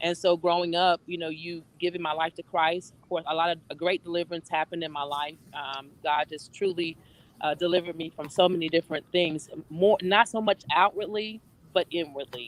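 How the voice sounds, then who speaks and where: Recorded dry and close with no echo, a woman talks at a fairly quick pace in a fairly low pitch, her intonation fairly even but her loudness swinging widely. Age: 60s. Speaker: entrepreneur and life coach. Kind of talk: casual chat. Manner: halting.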